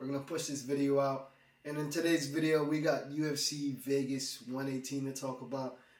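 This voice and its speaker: A man at a moderate pace, with fairly even intonation and audible room echo. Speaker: MMA YouTuber. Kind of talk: fight predictions commentary. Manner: casual, conversational.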